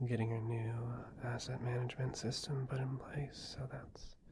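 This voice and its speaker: Soft-spoken and somewhat breathy, the voice has a gentle tone and monotone, flat intonation. It moves at a fairly slow pace over noticeable background noise. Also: man. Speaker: ASMR creator. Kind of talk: ASMR girlfriend roleplay, soft talk to listener. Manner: soft-spoken, gentle, caring, rambling. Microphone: studio mic.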